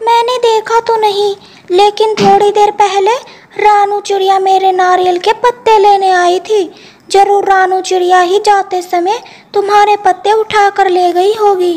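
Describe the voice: A woman performs a cartoonish character voice at an extremely high pitch. Her intonation stays monotone and flat. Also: fairly slow pace.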